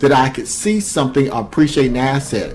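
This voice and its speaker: With music in the background, a man speaks in an animated tone at a medium pitch with ordinary pitch variation. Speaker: crypto YouTuber. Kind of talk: video commentary on crypto. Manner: fast.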